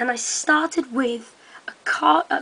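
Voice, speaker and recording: A woman speaks over noticeable background noise. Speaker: hobbyist video maker. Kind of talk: tutorial. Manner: hesitant, many ums.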